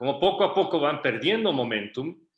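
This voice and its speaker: A man with an unremarkable speaking voice talks at a moderate pace, his intonation lively. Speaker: entrepreneur. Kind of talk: workshop talk.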